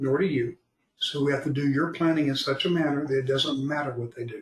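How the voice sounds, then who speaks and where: Talking at a very fast pace, a man with an American accent sounds somewhat breathy and keeps a fairly even intonation. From Florida. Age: 70s. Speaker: retirement planner. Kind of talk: podcast interview.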